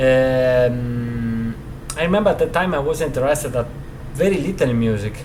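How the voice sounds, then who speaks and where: With an Italian accent, a medium-pitched man speaks at a moderate pace with ordinary pitch variation, amid audible room echo and noticeable background noise. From Italy, Rovigo (Veneto). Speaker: guitarist. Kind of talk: interview. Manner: halting, many fillers.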